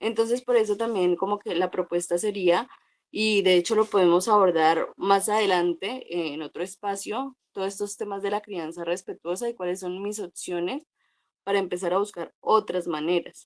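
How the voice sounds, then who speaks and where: A woman speaks at a moderate pace and medium pitch with ordinary pitch variation, in an ordinary speaking voice. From Colombia, Cauca. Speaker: psychologist. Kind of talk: talk.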